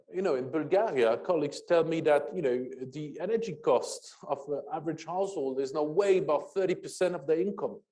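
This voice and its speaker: Amid audible room echo, a man with a dark, mellow tone and high pitch talks at a fairly quick pace with ordinary pitch variation and hardly any pauses. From France. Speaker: energy policy expert, panelist. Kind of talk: panel discussion. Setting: conference auditorium, hybrid event. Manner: halting, many fillers.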